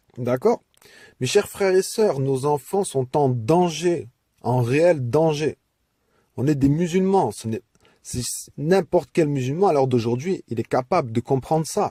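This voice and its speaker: Over a dry, close sound with no echo, a man speaks at a very slow pace. His fairly high voice has lively intonation and a dark, mellow tone. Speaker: religious message speaker. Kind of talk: audio message to community. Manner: impassioned.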